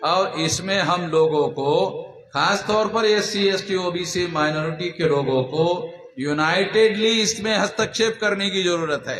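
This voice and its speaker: The man's pitch is high and varies in an ordinary way. There is noticeable background noise behind him. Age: 60s. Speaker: activist leader. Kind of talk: political speech.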